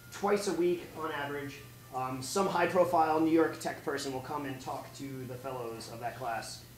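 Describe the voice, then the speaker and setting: A man's fairly high voice at a moderate pace, with ordinary pitch variation, audible room echo and light background noise. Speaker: program alumnus; presenter. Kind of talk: casual remarks on stage. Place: classroom.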